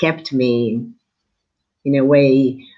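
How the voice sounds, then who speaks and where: This is a woman speaking. She has an Italian accent. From Somalia, Mogadishu. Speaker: writer. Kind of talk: interview.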